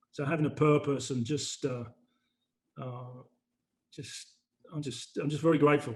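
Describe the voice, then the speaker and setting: A man's somewhat breathy voice in a London accent, fairly quick, with monotone, flat intonation. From London, England. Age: 60s. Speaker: retired broker. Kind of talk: casual interview chat. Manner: halting, many fillers.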